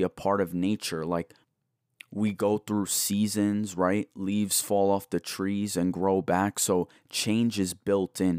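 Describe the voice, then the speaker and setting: Fairly low in pitch, a man speaks at a very slow pace in a flat monotone. The recording is very clean, with a silent background and a dry, close sound with no echo. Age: 20s. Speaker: podcast host. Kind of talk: solo reflective monologue.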